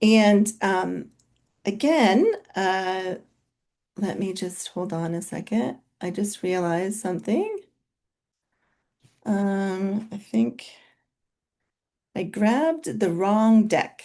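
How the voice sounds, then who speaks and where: A woman's very slow speech at a medium pitch, with ordinary pitch variation, a dark, mellow tone, long, frequent pauses and a quiet background. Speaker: physician and co-founder of a weight clinic. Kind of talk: webinar presentation. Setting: video call. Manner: loud.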